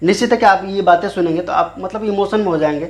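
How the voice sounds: Fast-paced, a man speaks in a high voice. His pitch varies in an ordinary way.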